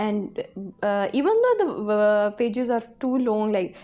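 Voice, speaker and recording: A woman talks in a Pakistani accent at a fairly high pitch. Her pace is fairly slow. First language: Urdu. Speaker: book reader guest. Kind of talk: casual chat. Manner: hesitant.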